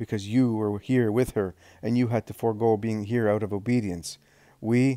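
With fairly even intonation, an unforced reading voice carries through.

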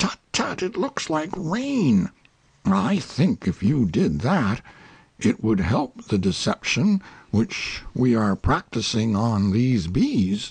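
A put-on character voice growls with an anxious tone at a low-to-middle pitch. The pace is very slow, and the pitch swings very wide. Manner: earnest, slow-thinking, anxious.

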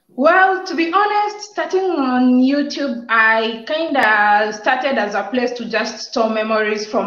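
Audible room echo surrounds a woman speaking at a high pitch with lively intonation. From Kenya, Nairobi; Kenya. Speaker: YouTube content creator; guest. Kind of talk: casual chat. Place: home room. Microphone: unstable network connection; video call.

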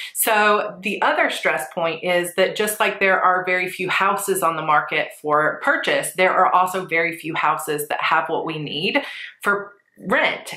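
A woman speaks at a fairly slow pace with ordinary pitch variation. There is audible room echo. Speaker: planner vlogger. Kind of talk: casual vlog chat. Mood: stressed but composed. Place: home room.

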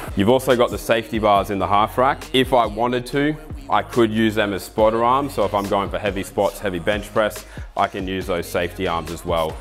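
Against faint background music, a man with a fairly low pitch speaks at a fairly quick pace. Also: ordinary pitch variation. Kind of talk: product walkthrough talk. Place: gym.

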